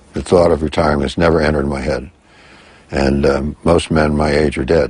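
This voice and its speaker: Amid noticeable background noise, a man with a very deep, low voice speaks at a fairly quick pace in a monotone, flat intonation. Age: 80s+. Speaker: triathlete, motivational speaker and scientist. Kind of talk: interview. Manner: halting.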